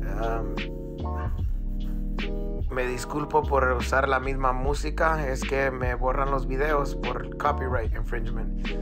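Music plays in the background. The speaking pace is fairly slow. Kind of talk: channel intro narration.

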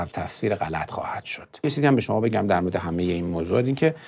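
The man talks at a very fast pace. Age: 40s. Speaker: music producer; interview guest. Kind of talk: interview. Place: studio. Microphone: lapel.

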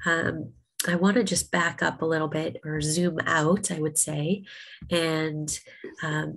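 Speaking slowly at a low pitch, a woman keeps her pitch fairly flat, with a fairly bright tone and vocal fry.

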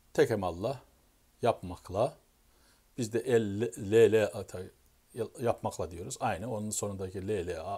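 At a fairly slow pace, a man talks in a dark, mellow, somewhat breathy tone, his pitch fairly low and its variation ordinary. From Turkey. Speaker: YouTuber. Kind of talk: casual explanatory monologue. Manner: halting, self-correcting. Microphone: phone near.

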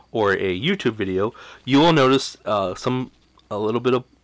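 A man is speaking. His pace is moderate and his pitch variation ordinary. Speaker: tech reviewer. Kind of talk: product review commentary. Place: home room.

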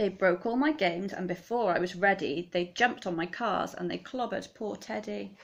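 A woman talks at a fairly quick pace with an animated, playful tone, ordinary pitch variation and hardly any pauses. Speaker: teacher reading aloud. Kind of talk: children's story reading aloud, rhyming picture book, bedtime-story style. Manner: animated, playful, dramatic expression. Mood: warm, expressive storytelling. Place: home room. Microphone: phone near.

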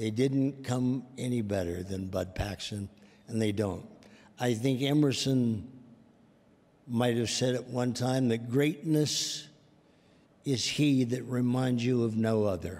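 Leaving long, frequent pauses, a man talks at a very slow pace with ordinary pitch variation. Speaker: presenter. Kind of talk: tribute speech. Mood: warm, affectionate remembrance. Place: hall. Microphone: podium.

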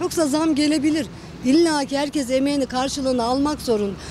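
A woman speaks at a fairly quick pace in a high voice. The sound is dry with no echo, and background noise is noticeable. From Kayseri, Turkey; Turkey. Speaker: interviewee on the street; interviewee. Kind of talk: street interview. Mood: worried, indignant about prices. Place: street. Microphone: handheld.

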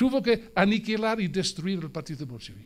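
In an English accent, a man with a high-pitched voice speaks in an animated tone. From South Wales. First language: English (speaking Spanish). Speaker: Marxist editor and speaker; speaker. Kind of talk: political speech. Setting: museum event with live audience. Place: hall. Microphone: podium.

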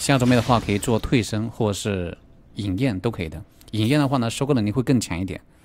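A man talks at a very fast pace in a medium pitch. Faint music plays in the background. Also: ordinary pitch variation. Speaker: game streamer. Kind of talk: live gameplay commentary. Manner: animated. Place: home room.

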